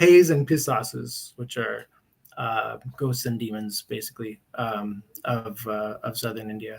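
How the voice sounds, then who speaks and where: A man with an American accent at a moderate pace with ordinary pitch variation. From US West Coast, Berkeley, California. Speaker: publisher. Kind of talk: interview. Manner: hesitant, many fillers.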